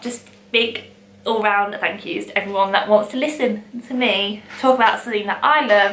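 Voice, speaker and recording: Against noticeable background noise, a woman with an East Midlands accent talks in a fairly high pitch with ordinary pitch variation. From England, Long Eaton. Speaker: vintage shop owner. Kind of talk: casual talk to camera.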